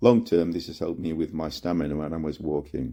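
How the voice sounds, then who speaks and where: A man with a British accent speaks at a fairly quick pace in a very deep, low pitch with ordinary pitch variation. His tone is dark and mellow, and the recording is very clean with a silent background. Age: 60s. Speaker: amputee sharing advice. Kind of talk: testimony.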